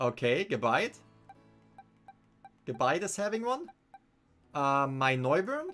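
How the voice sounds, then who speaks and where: Speaking very slowly with a German accent, the voice leaves long, frequent pauses as music plays in the background. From Germany. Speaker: gaming streamer. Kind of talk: live stream commentary. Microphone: studio condenser mic.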